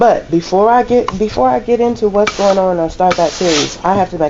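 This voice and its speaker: Noticeable background noise beneath a woman's voice. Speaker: laundromat owner and vlogger. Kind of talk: casual vlog monologue. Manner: loud.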